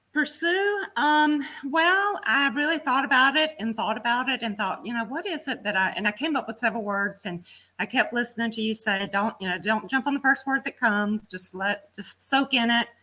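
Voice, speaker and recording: Pitched high with very wide swings, a woman's bright, sharp voice carries a Southern US accent. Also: moderate pace. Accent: Southern US country. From Georgia, US South. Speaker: fitness program participant. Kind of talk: casual chat. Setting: live video stream.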